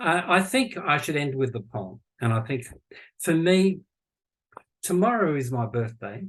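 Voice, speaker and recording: Speaking at a fairly high pitch, a man sounds somewhat breathy, his pitch swinging very widely. He leaves long, frequent pauses. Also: fairly slow pace. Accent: Australian. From Australia. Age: 60s. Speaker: futurist and university lecturer. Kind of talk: podcast interview conversation. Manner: halting, with many false starts.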